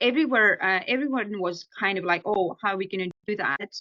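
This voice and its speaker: A woman speaks in an Estonian accent with ordinary pitch variation. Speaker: ghostwriter and author. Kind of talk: podcast interview answer.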